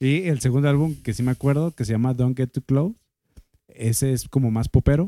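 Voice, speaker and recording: This man speaks at a fairly quick pace with a Mexican accent, his medium-pitched voice dark and mellow in tone. His pitch varies in an ordinary way, and the sound is dry and close with no echo. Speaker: podcast co-host. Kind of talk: casual chat.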